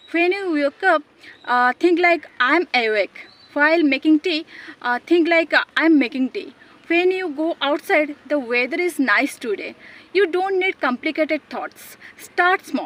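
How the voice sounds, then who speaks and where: Speaking with an Odisha accent, a woman with an extremely high pitch and lively intonation comes through in a dry, close sound with no echo. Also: fairly slow pace. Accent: Indian (Odia) English. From Odisha, India. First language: Odia. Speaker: English teacher, YouTuber. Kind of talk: English lesson talk to camera.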